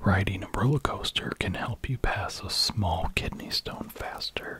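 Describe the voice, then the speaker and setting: A man talks at a fairly slow pace. Every word is whispered. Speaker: ASMR creator. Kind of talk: ASMR sleep video, reading facts. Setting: close-up binaural microphone. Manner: soft-spoken. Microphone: studio mic.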